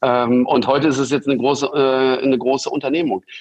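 A man talks at a moderate pace. His pitch is medium, and his intonation is fairly even. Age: 50s. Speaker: entrepreneur and investor. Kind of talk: interview. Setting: remote recording. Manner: hesitant fillers.

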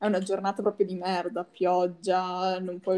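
A dark, mellow tone at a moderate pace with monotone, flat intonation. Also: woman. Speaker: podcast co-host. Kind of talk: casual chat.

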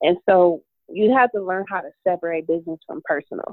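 A woman with a plain, everyday voice speaks at a fairly low pitch. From Detroit, Michigan. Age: 30s. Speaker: author and entrepreneur. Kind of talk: podcast interview.

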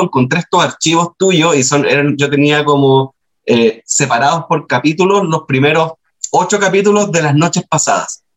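A man speaks with a Chilean accent. His intonation is lively. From Chile, Antofagasta. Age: 30s. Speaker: writer. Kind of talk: casual interview.

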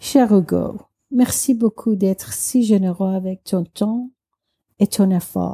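At a very slow pace, a woman speaks with a dark, mellow tone, somewhat breathy, with ordinary pitch variation. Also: medium pitch for a woman, dry, close sound with no echo. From Iran. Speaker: listener and French learner. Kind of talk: recorded voice message.

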